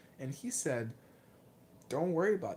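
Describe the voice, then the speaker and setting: A man's somewhat breathy voice moves along at a fairly quick clip. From Lithuania. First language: Lithuanian. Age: 20s. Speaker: martial arts vlogger. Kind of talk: livestream Q&A. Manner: hesitant, many fillers and repeats.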